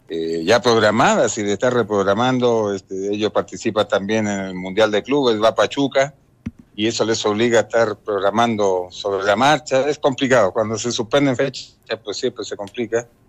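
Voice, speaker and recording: In a dry, close recording with no echo, a man speaks in a plain, everyday voice at a medium pitch, with ordinary pitch variation and a moderate pace. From Chile. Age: 50s. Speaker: former footballer. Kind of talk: phone interview.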